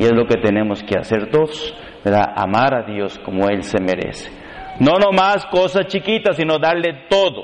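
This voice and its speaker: Noticeable background noise runs behind a man with a fairly high voice who speaks at a moderate pace with very wide pitch swings. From Mexico, Reynosa. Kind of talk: sermon.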